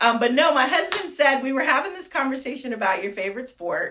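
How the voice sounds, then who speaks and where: An animated woman with an American accent raises and projects her high-pitched voice. Background noise is noticeable. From Fresno, California. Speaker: mayor. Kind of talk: interview. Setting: office. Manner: fast.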